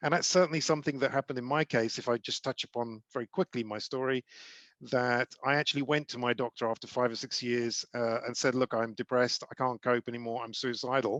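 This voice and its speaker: A man with a British accent speaks at a very fast pace with fairly even intonation. The sound is dry and close with no echo, and the background is quiet. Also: medium pitch for a man. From UK. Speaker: charity ambassador and former CEO. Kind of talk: talk to a group.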